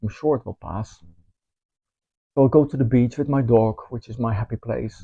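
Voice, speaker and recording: Speaking in a Dutch accent, a man sounds somewhat breathy at a moderate pace, with ordinary pitch variation. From Netherlands. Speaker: spiritual teacher. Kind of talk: course promotion talk. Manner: casual, with filler ums.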